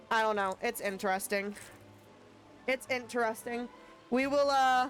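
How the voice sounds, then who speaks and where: Over background music, a woman with an American accent speaks in an animated tone at a high pitch and a moderate pace, her loudness very even. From USA. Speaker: gaming streamer. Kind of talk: casual live-stream chat. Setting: live stream.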